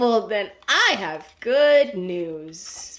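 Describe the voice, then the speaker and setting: A woman at a medium pitch performs in a put-on character voice. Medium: read story.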